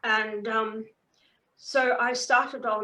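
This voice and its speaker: With a New Zealand accent, a woman speaks at a fairly high pitch in a bright, sharp tone. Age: 70s. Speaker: author and hypnotherapist. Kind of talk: interview.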